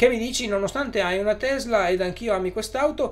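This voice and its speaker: A man talks at a fairly quick pace in a high voice with lively intonation. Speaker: YouTuber on electric cars; live streamer. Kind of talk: live stream chat with viewers. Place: home room.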